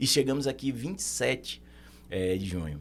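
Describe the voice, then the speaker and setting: The man speaks with lively intonation. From Brazil, Recife (Northeast). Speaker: accountant. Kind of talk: podcast interview.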